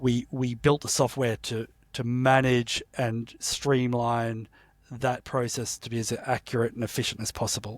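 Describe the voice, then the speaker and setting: At a fairly slow pace, a man talks in a monotone, flat way with an Australian accent. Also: medium pitch for a man, very clean recording, silent background. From Australia, Sydney. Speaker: entrepreneur, company founder. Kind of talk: interview conversation.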